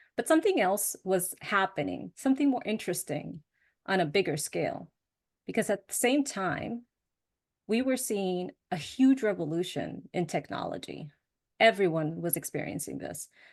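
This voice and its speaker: With a Spanish accent, a woman talks at a moderate pace against a quiet background, her medium-pitched voice swinging very widely and showing vocal fry. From US Northeast, suburbs of Boston. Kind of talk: presentation talk.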